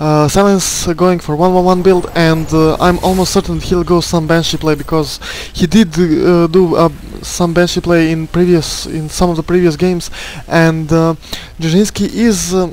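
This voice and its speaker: A man with a non-native accent speaks at a moderate pace in a high, flat, monotone voice over noticeable background noise. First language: not English. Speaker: esports caster. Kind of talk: live game commentary. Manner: halting, many fillers and repetitions.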